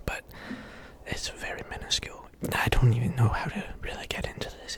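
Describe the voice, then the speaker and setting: A man is whispering. Noticeable background noise runs behind him. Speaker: ASMR creator. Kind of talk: casual ASMR ramble to camera. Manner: whispering, rambling.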